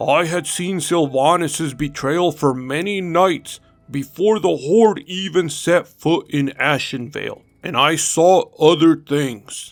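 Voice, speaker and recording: Using a put-on character voice, a man speaks fairly slowly at a high pitch while faint music plays in the background. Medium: read story. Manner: slow, wise.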